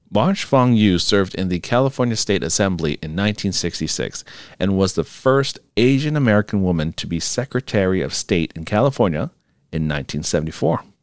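In a plain, everyday voice, a man speaks at a moderate pace and fairly low pitch with lively intonation, recorded very cleanly against a silent background with a dry, close sound and no echo. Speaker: podcast host.

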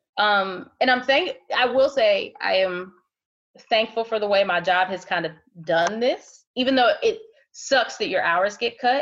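A woman with a normal speaking voice talks at a fairly slow pace, her fairly high pitch carrying lively intonation. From Ohio. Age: 30s. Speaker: healthcare worker and mother. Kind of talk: interview. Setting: video call.

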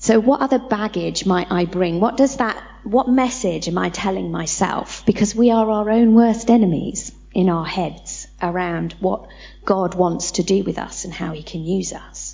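A woman at medium pitch, with big swings in loudness, ordinary pitch variation and a moderate pace. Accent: British. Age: 40s. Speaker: church leader. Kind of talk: church teaching session.

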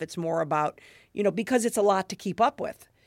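On a very clean recording with a silent background and a dry, close sound with no echo, a woman talks very fast in an animated tone with ordinary pitch variation. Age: 50s. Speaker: podcast host and food blogger. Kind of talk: casual interview chat. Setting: in person, sitting across from guest.

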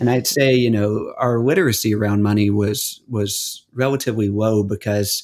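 In a very clean recording with a silent background, a man of medium pitch with an ordinary speaking voice talks in an American accent with ordinary pitch variation. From US South. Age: 30s. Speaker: disaster relief worker. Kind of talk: casual chat.

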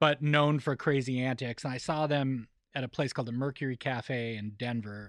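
Against a quiet background, a man uses a normal speaking voice. His pitch is medium and his intonation fairly even. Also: moderate pace. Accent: American. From Colorado (Boulder County). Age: 40s. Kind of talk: casual chat. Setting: studio.

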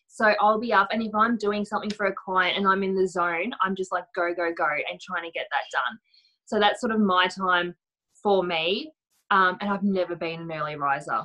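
With an ordinary speaking voice, a woman talks at medium pitch and a moderate pace, using ordinary pitch variation. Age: 30s. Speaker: stay-at-home mum and home stylist. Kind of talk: casual interview chat.

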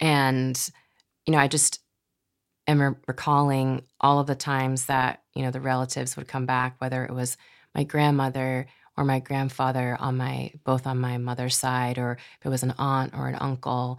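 In a very clean recording with a silent background, a woman with an American accent speaks at a moderate pace in a very deep, low, monotone voice with flat intonation. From Massachusetts, US. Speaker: poet and podcast host. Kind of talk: casual interview.

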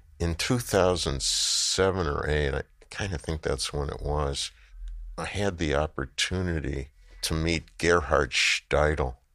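A man's very deep, low voice with vocal fry and a bright, sharp tone, ordinary pitch variation, a fairly slow pace, and a very clean recording over a silent background. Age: 70s. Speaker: artist. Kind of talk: interview. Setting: studio. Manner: long, storytelling answers.

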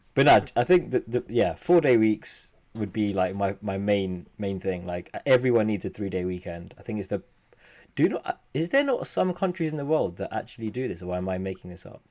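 Speaking in a plain, everyday voice, a man with a fairly low pitch moves at a fairly quick pace. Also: lively intonation. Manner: joking, playful.

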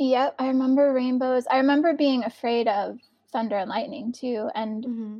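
A woman's high-pitched voice in an American accent, at a moderate pace with fairly even intonation. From northeastern US. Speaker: educator and artist. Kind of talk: casual interview chat. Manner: hesitant, with frequent fillers.

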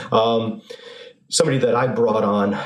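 Noticeable background noise runs under a voice with an American accent. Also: man. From North Haven, Connecticut. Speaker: financial advisor. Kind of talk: interview.

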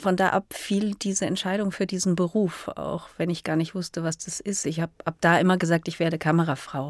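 A woman speaks at a fairly quick pace with a fairly low pitch and fairly even intonation. The recording is very clean with a silent background, and the sound is dry and close with no echo. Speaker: cinematographer. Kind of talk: interview. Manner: hesitant, many fillers.

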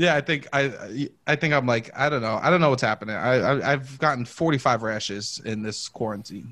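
A man's bright, sharp, animated voice at medium pitch, with ordinary pitch variation, a moderate pace and a strong New York accent. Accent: strong Staten Island New York. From Staten Island, New York. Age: 30s. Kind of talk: casual chat. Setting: video call. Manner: animated, joking.

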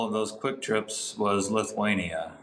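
A man with an unremarkable speaking voice talks at a moderate pace, medium in pitch and lively in intonation. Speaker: naval officer and triathlon coach. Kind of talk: coaching tips interview.

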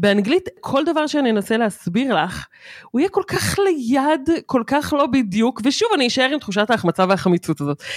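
In a very clean recording with a silent background and a dry, close sound with no echo, a woman speaks at a moderate pace with a high pitch, very wide pitch swings and very even loudness. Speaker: podcast co-host. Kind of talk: casual chat.

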